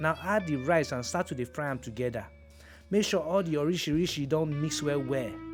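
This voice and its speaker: Over music in the background, a man talks at a fairly quick pace. His pitch is fairly high with ordinary variation. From Nigeria. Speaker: actor and presenter. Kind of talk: cooking tutorial to camera. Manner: playful, humorous.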